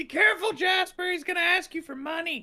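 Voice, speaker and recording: This man puts on a character voice. It is squeaky, at an extremely high pitch. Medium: actual play.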